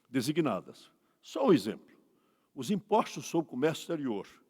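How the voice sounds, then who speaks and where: A man talks in a high pitch that swings very widely, on a very clean recording with a silent background. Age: 80s+. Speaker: law professor. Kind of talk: conference lecture.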